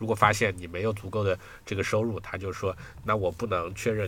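Very fast delivery in a monotone, flat intonation. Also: man. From China. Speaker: software engineer and technical translator. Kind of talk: casual interview chat. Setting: video call.

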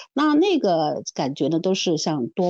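A woman speaks with a dark, mellow tone and very wide pitch swings. The sound is dry and close, with no echo. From Shanghai. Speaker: leadership development consultant and executive coach. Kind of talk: casual chat. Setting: remote recording.

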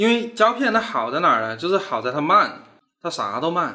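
Bright and sharp in tone, a man's voice proceeds at a moderate pace. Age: 30s. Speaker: animation studio founder. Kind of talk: casual interview chat.

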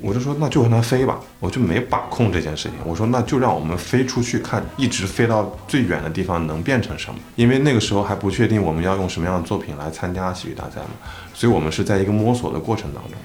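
Amid noticeable background noise and audible room echo, a man races along at a very fast pace with hardly any pauses, his fairly low voice carrying lively intonation. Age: 30s. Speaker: comedy performer. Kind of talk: casual chat.

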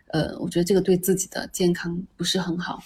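A woman speaks at a fairly quick pace in a medium pitch, her voice somewhat breathy. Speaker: podcast host. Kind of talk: casual chat.

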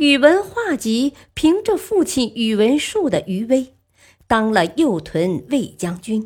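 Quiet background, plain reading aloud

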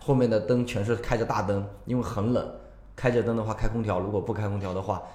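Speaking very fast in a flat monotone, a man with a fairly low pitch is heard over noticeable background noise and audible room echo. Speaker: tour leader. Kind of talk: casual chat.

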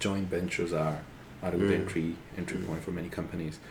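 Here a man speaks with a very deep, low pitch and fairly even intonation. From Ecuador. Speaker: designer. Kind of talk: interview. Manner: halting.

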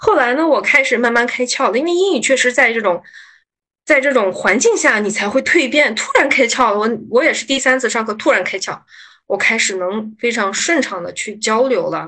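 A woman's high voice with lively intonation at a fairly quick pace. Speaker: pharmaceutical investment manager. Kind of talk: casual interview chat.

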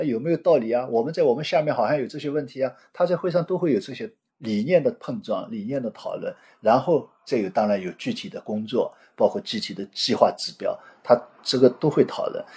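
A man speaks at a fairly quick pace with a fairly high pitch, a somewhat breathy, dark and mellow tone, and very wide pitch swings over a quiet background. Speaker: retired bank executive and researcher. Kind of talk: interview.

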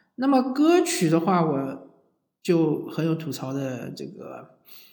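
Amid audible room echo, a man with a fairly high voice speaks in a dark, mellow tone. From southern China. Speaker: podcast host. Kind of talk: casual monologue. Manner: hesitant, frequent fillers.

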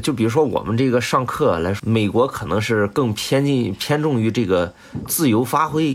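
This man has a normal speaking voice, medium in pitch, with lively intonation. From Shandong, China. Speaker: music doctoral student and flutist. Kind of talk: casual interview chat.

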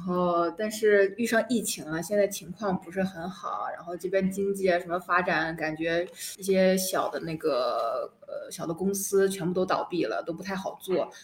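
At a moderate pace, the speaker talks in a monotone, flat intonation over noticeable background noise. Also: woman, hardly any pauses, big swings in loudness. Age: 20s. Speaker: international student. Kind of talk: casual chat.

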